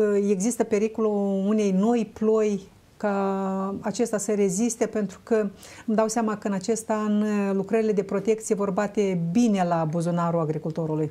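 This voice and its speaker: At a moderate pace, a woman with an unremarkable speaking voice talks at a fairly high pitch with ordinary pitch variation. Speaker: talk show host. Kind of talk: studio talk show interview. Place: studio. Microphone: lapel.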